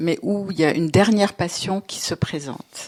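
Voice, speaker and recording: On a very clean recording with a silent background, a woman with a fairly low pitch speaks at a very slow pace. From Lebanon. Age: 60s. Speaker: novelist and theatre director. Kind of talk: literary interview. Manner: hesitant, many fillers.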